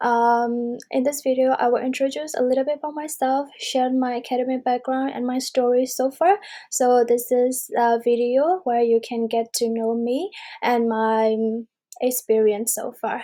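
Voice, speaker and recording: A woman's high-pitched voice has a dark, mellow tone, fairly even intonation and a moderate pace. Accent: Burmese. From Myanmar. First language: Burmese. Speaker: university student. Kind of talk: self-introduction video. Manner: halting, many fillers.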